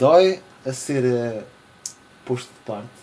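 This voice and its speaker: A man speaks at a fairly slow pace with very wide pitch swings. Noticeable background noise runs under the recording. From Portugal. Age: 20s. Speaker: podcast host. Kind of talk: casual chat.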